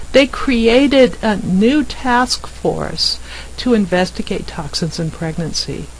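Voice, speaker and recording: Very slow speech with an American accent over noticeable background noise. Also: woman. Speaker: physician. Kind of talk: recorded slide presentation. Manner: informal, conversational.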